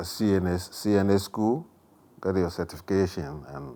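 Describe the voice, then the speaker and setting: A man speaks at a fairly slow pace. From Ghana. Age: 60s. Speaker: home health caregiver, retired army veteran. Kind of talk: oral history interview. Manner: halting, with fillers.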